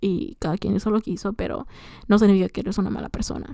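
A woman's medium-pitched voice with a dark, mellow tone and ordinary pitch variation, on a very clean recording with a silent background. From Mexico, Michoacán (Morelia), raised in US from age six. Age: 20s. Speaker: podcaster, young mother. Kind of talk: casual personal monologue. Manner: chatty, informal, many fillers.

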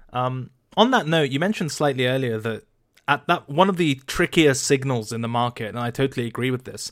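A man has a plain, everyday voice, fairly high in pitch with ordinary pitch variation. He speaks at a fairly quick pace on a very clean recording with a silent background. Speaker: crypto podcast host. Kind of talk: casual podcast interview.

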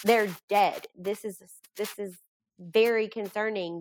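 At a fairly slow pace, a woman speaks in a monotone, flat way at a medium pitch, on a very clean recording with a silent background. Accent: Kentucky. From Kentucky, Bardstown. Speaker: bereaved mother and support group founder. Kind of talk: podcast interview.

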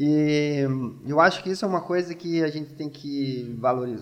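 A man talks in an unremarkable speaking voice. His pitch varies in an ordinary way. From Brazil, Rio Grande do Sul (gaúcho). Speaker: neuroscience researcher, pharmacist. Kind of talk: casual interview.

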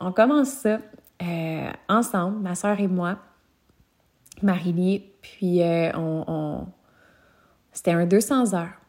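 In a Quebec accent, a woman speaks at a very slow pace with long, frequent pauses and a warm tone. Her pitch varies in an ordinary way, and the recording is very clean with a silent background. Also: medium pitch for a woman. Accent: Québécois French. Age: 20s. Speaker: yoga teacher and podcast host. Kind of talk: personal storytelling monologue. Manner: warm, casual with frequent hesitations.

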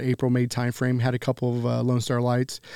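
A very fast man's voice in a Texan accent, medium-pitched with a dark, mellow tone, in a dry, close sound with no echo. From Texas, Grand Prairie. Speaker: barbecue pitmaster and restaurant owner. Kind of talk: casual interview.

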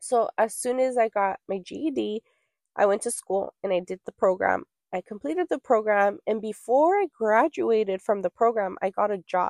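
At a moderate pace, a normal speaking voice comes through with a dry, close sound and no echo. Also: woman, fairly high pitch for a woman. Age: 30s. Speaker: podcast host. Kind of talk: personal storytelling monologue.

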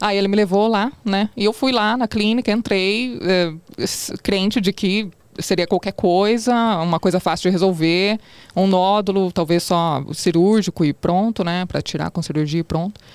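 On a very clean recording with a silent background, a woman speaks at a moderate pace in dry, close sound with no echo. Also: medium pitch for a woman, ordinary pitch variation. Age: 30s. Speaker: TV reporter, cancer survivor. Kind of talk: testimony.

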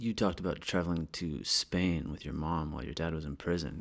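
Very deep, low male voice with vocal fry at a very fast pace, in a very clean recording with a silent background. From US small town. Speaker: podcast host. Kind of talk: casual chat. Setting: apartment in Paris.

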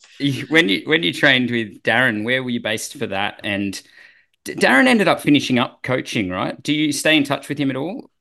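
Speaking at a fairly quick pace with an Australian accent, a man uses lively intonation at medium pitch over a quiet background. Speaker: podcast host, former triathlete. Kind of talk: casual interview.

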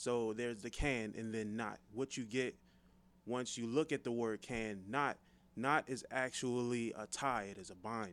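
A normal speaking voice moves at a fairly slow pace with fairly even intonation on a very clean recording with a silent background. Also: man, medium pitch for a man. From Forestville, Maryland (DC area). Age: 30s. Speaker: podcast co-host, script writer. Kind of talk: casual chat.

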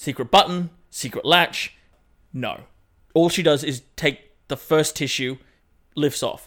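On a very clean recording with a silent background, a man with a fairly high pitch speaks at a fairly slow pace, his intonation fairly even and broken by long, frequent pauses. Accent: Australian. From Australia. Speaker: podcast co-host. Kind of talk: casual chat.

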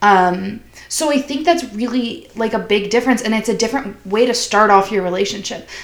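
Behind a woman's fairly high voice there is noticeable background noise. She speaks at a moderate pace with ordinary pitch variation. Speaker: college student. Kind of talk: casual chat.

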